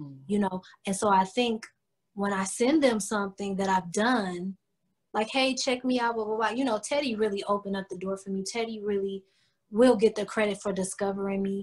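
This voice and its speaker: With an American accent, a woman talks at a fairly quick pace in a plain, everyday voice, her pitch medium and its variation ordinary. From Cleveland, Ohio, US Midwest. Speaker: R&B singer-songwriter. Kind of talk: casual interview chat. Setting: video call.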